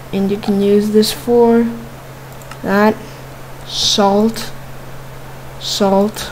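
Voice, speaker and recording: A woman at a medium pitch speaks very slowly with long, frequent pauses, over noticeable background noise. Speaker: Minecraft YouTuber. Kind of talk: casual gaming commentary. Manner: casual, chatty, animated.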